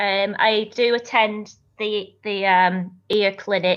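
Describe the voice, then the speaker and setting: In a strong Lancashire accent, a woman talks with fairly even intonation against a quiet background. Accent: broad Lancashire. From northern England, Lancashire. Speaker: singer-songwriter. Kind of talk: interview.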